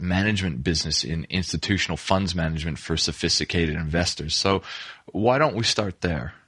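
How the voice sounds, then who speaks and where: A man is speaking. He has a non-native accent. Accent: noticeable foreign. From immigrant to Australia. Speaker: podcast host. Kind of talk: interview.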